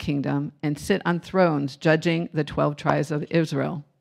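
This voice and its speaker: With ordinary pitch variation and a moderate pace, a woman talks in an unremarkable speaking voice against a quiet background. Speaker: congregation member leading scripture reading and prayer. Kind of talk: scripture reading and prayer. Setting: church.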